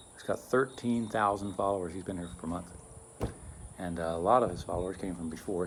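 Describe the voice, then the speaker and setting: A man speaks very fast with a very deep, low pitch. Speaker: vlogger. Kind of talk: casual vlog monologue. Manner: rambling, halting.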